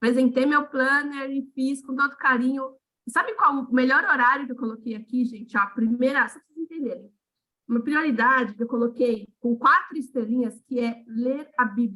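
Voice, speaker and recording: A woman's raised, projected voice has a bright, sharp tone and high pitch, with big swings in loudness. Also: moderate pace. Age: 40s. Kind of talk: casual chat. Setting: video call. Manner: animated.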